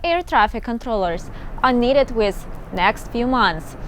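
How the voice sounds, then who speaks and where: Music plays behind a woman who speaks at a moderate pace in a high voice. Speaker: news anchor. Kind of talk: TV news anchor read.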